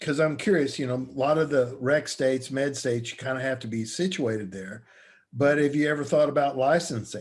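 A man with a fairly high pitch moves at a fairly quick pace, using a normal speaking voice and ordinary pitch variation. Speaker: podcast host. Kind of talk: casual interview chat.

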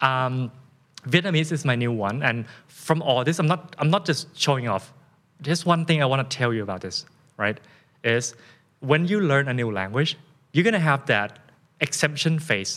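A man with a Thai accent speaks at a moderate pace, his pitch fairly high and his intonation lively. He leaves long, frequent pauses. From Thailand. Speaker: fitness coach and influencer. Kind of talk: casual interview conversation.

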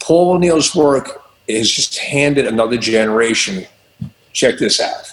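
A man's plain, everyday voice, fairly high in pitch, with lively intonation at a fairly slow pace. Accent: American. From Long Island, New York. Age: 50s. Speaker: rock guitarist and music director. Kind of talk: interview.

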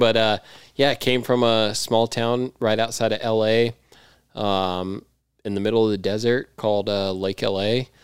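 Using an ordinary speaking voice, a man with an American accent talks at a fairly slow pace and fairly low pitch with fairly even intonation on a very clean recording with a silent background. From California, grew up near L.A. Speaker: freestyle motocross rider. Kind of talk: casual chat.

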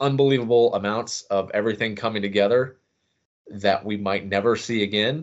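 A man with a plain, everyday voice and an American accent talks at a moderate pace with fairly even intonation. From Manhattan, Kansas. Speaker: sports podcast co-host. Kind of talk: casual chat.

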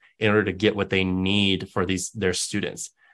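This is a plain, everyday voice with an American accent and fairly even intonation. The background is quiet. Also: man. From West Texas. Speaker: university diversity director. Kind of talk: interview.

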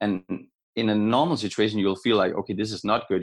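In a Danish accent, a man with a fairly low pitch talks very fast on a very clean recording with a silent background. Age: 30s. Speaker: retired badminton player. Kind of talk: interview.

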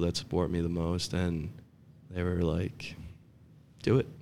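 A man speaks in a very deep, low pitch with a New Jersey accent. His tone is dark and mellow, with fairly even intonation. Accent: New Jersey American. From North Jersey, US. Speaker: professional soccer player. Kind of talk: casual interview chat.

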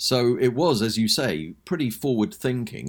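In a very clean recording with a silent background, a man speaks with a London accent and vocal fry. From London, England. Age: 60s. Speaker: music author and podcaster. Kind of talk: casual interview.

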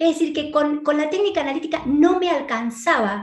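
A woman with an Argentine accent, at a fairly quick pace. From Argentina. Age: 50s. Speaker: psychiatrist and abundance coach. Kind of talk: online conference talk.

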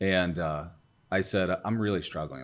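A man with an American accent speaks with a very deep, low pitch and ordinary pitch variation. His pace is moderate, and there is audible room echo. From US Midwest, Ohio. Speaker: entrepreneur and CEO. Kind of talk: interview testimony.

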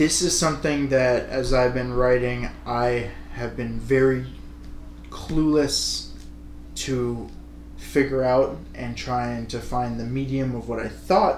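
A very slow voice in an American accent, with audible room echo and noticeable background noise. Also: man. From United States. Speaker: podcast co-host, aspiring screenwriter. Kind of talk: casual chat.

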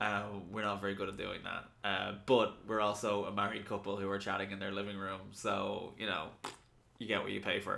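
Speaking at a fairly quick pace with an Irish accent, a man uses a fairly low pitch, a bright, sharp tone and monotone, flat intonation. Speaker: podcast co-host. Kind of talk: casual chat. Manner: tired.

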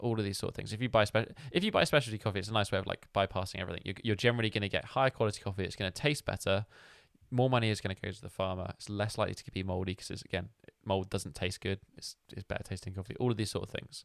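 On a very clean recording with a silent background, a man talks very fast at a fairly low pitch with fairly even intonation. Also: dry, close sound with no echo. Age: 20s. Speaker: movement coach. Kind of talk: casual chat.

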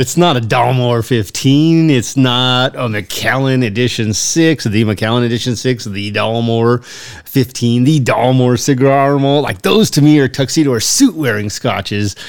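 In an ordinary speaking voice, a man talks at a fairly slow pace with hardly any pauses, a medium pitch and ordinary pitch variation. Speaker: podcast co-host. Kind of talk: casual chat.

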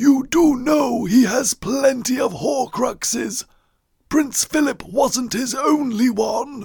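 A raspy, put-on character voice moves at a fairly slow pace. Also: man, extremely high pitch for a man. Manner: sinister, silky.

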